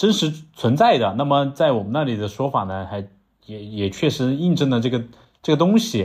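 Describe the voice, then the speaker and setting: At a moderate pace and medium pitch, a man with a strong southern Chinese accent speaks in very wide pitch swings on a very clean recording with a silent background. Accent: strong southern Chinese accent in Mandarin. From southern China, Langzhong, Sichuan. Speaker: podcast co-host. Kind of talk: casual chat. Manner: halting, many fillers.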